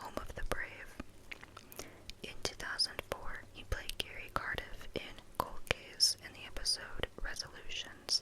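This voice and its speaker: Noticeable background noise accompanies a whisper delivered at a fairly slow pace. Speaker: ASMR content creator. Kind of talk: whispered ASMR wiki read. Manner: whispered, soft, relaxing.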